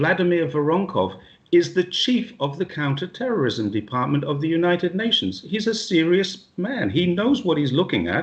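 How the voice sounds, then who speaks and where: At a moderate pace, a man speaks in a high pitch with lively intonation. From England. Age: 60s. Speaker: retired police officer and expat. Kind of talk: interview. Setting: video call. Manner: animated.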